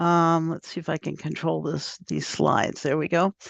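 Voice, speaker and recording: A woman with an American accent, fairly low-pitched, in a dry, close sound with no echo against a quiet background. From US Southwest (Phoenix, Arizona). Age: 70s. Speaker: scientist and LGBTQ advocate. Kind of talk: lecture. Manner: halting.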